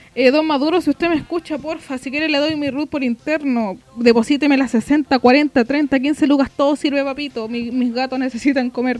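A woman with a Chilean accent and a high pitch speaks at a moderate pace with fairly even intonation and hardly any pauses, over noticeable background noise. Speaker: podcast co-host. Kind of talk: casual chat.

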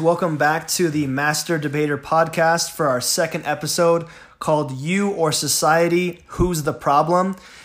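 In an American accent, a man talks at a moderate pace with hardly any pauses, his fairly high voice flat and monotone. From Southern California. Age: 30s. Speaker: podcast host. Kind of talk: casual debate conversation.

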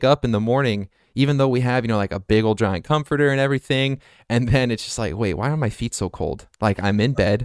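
A plain, everyday voice from a man, medium in pitch, fairly quick, with ordinary pitch variation, in a dry, close sound with no echo. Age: 20s. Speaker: podcast host. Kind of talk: casual chat.

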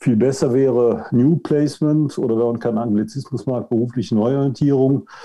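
In an ordinary speaking voice, a man talks with hardly any pauses, very even loudness and fairly even intonation. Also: medium pitch for a man, moderate pace. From Germany, Cologne. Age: 60s. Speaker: outplacement coach. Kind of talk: podcast interview.

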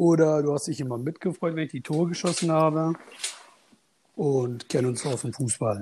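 Speaking at a moderate pace with ordinary pitch variation, the somewhat breathy voice sits on a very clean recording with a silent background. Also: man. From Münster, Germany. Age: 30s. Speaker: fantasy football player, podcast guest. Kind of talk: casual interview chat.

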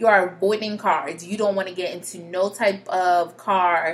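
A woman at a moderate pace and medium pitch, animated in tone, with noticeable background noise. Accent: American. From Connecticut, US. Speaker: podcast host, mental health educator. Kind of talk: solo podcast monologue.

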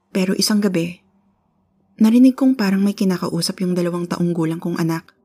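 A woman speaks at a medium pitch with a dark, mellow tone and a somewhat breathy quality. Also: long, frequent pauses. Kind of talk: ghost story telling, first-person spooky narration of a true haunting. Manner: earnest and conversational, polite with 'po'.

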